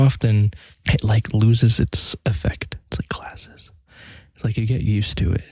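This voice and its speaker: Soft-spoken and somewhat breathy, a man talks at a fairly quick pace. His fairly low voice has a dark, mellow tone. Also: dry, close sound with no echo. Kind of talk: ASMR rambling talk to camera.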